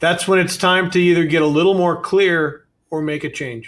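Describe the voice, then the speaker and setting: A man talks at a fairly slow pace in an ordinary speaking voice, fairly high in pitch with fairly even intonation. The recording is very clean, with a silent background. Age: 60s. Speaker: car dealership executive and consultant. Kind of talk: interview.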